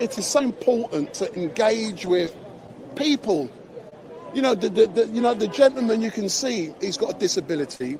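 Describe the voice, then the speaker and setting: This man talks at a moderate pace with lively intonation. His pitch is high, and there is noticeable background noise. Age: 60s. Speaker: street live streamer. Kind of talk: live street stream interview. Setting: outdoors outside court. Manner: animated.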